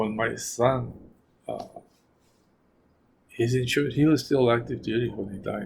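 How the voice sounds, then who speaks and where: Somewhat breathy delivery at a moderate pace, with fairly even intonation. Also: man. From New Mexico. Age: 70s. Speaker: retiree interviewee. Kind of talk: oral history interview. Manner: halting, repetitive.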